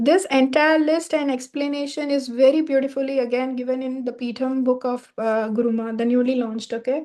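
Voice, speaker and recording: At a fairly quick pace with hardly any pauses, a woman speaks in a high pitch with a dark, mellow tone and fairly even intonation over a quiet background. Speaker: vastu teacher. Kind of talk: online class lecture.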